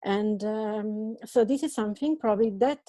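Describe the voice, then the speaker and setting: In an Italian accent, a woman speaks fairly slowly at a fairly high pitch, with a dark, mellow tone and ordinary pitch variation. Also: quiet background. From Italy, Bergamo area. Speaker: social worker and activist. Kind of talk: video call talk and Q&A. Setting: video call. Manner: halting, many repetitions and fillers.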